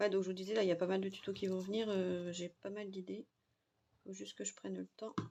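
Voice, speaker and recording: Soft-spoken with a dark, mellow tone, a woman talks at medium pitch and a fairly quick pace in monotone, flat intonation. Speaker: crafting youtuber. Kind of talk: tutorial. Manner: casual.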